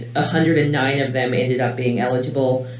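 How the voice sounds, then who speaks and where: Amid noticeable background noise and audible room echo, a man speaks at a fairly quick pace and a medium pitch. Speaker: clinical research coordinator. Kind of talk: conference talk. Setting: conference room with audience. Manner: loud; casual, many fillers.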